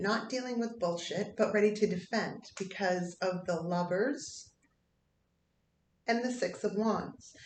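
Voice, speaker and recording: A woman talks fairly slowly, and audible room echo surrounds her words. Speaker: tarot reader. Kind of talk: tarot reading. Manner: halting.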